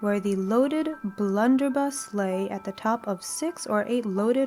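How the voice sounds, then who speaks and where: With music in the background, a woman speaks at a fairly high pitch and fairly slow pace, with ordinary pitch variation. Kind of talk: audiobook reading; sleep story. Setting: soft background music.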